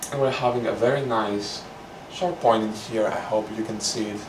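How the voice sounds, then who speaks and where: A medium-pitched man in a Greek accent at a moderate pace, with audible room echo and noticeable background noise. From Greece. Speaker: painting instructor. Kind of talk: tutorial. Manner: casual, relaxed.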